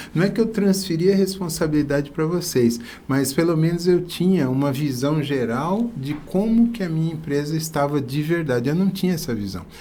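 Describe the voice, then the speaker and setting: With hardly any pauses, a man speaks at a moderate pace in a fairly high pitch, his intonation lively, and audible room echo surrounds him. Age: 60s. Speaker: business owner. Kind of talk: podcast interview. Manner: halting.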